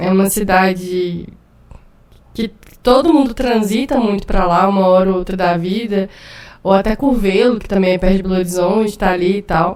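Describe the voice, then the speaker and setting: A woman speaks at a medium pitch with ordinary pitch variation. Her pace is moderate, with long, frequent pauses. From Buritizeiro, northern Minas Gerais, Brazil. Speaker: writer and literature teacher. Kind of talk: casual interview conversation.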